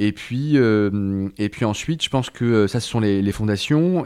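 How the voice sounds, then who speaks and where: Here a man talks at fairly low pitch with ordinary pitch variation and a dark, mellow tone. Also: very clean recording, silent background. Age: 30s. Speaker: notary. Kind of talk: interview. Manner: hesitant, many fillers.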